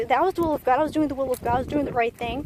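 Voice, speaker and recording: A woman speaks loudly at a high pitch with lively intonation over noticeable background noise. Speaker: vlogger sharing personal story. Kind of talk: testimony. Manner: rambling, hesitant with fillers.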